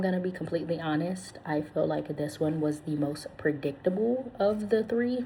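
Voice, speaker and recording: A soft-spoken woman talks at a moderate pace, her pitch swinging very widely. Noticeable background noise runs behind her. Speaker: ASMR channel host and book reviewer. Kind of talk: casual talk to camera, book review.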